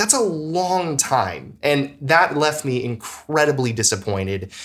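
A man speaks with a fairly high pitch and very wide pitch swings. His pace is fairly slow. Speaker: video game podcast co-host. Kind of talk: casual chat.

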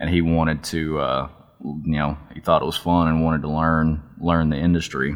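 With a Texan accent, a man speaks in a very deep, low voice with monotone, flat intonation. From Texas. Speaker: outdoor TV videographer. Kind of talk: casual interview. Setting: office.

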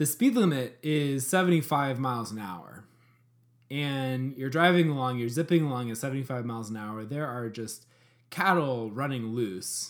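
Here is a man with an unremarkable speaking voice at a medium pitch. He keeps a moderate pace with ordinary pitch variation and big swings in loudness. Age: 30s. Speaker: podcast co-host. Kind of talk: casual chat. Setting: video call.

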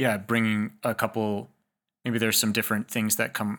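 Speaking at a fairly quick pace, a man uses a fairly low pitch and monotone, flat intonation, with a bright, sharp tone. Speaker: podcast host. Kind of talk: casual conversation.

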